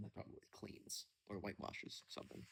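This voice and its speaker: In a relaxed tone, a man speaks somewhat breathily at a fairly quick pace. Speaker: storyteller. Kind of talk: casual chat; reading aloud. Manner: quiet.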